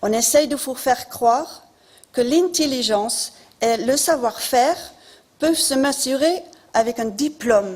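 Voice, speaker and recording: With a non-native accent, a woman talks at a fairly slow pace in a high pitch with lively intonation. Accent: noticeable foreign accent in French. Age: 50s. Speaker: local election candidate. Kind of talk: campaign speech. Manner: formal.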